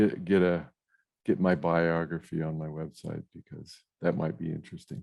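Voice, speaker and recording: A man with a very deep, low pitch talks at a moderate pace, his intonation fairly even but his loudness swinging widely. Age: 60s. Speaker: author and philosopher. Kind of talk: interview. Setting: podcast interview. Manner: halting, many fillers and restarts.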